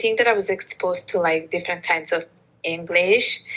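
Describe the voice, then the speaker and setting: A woman's medium-pitched voice with fairly even intonation. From Bangladesh. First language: Bengali. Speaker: author and podcast host, polyglot. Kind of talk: interview conversation.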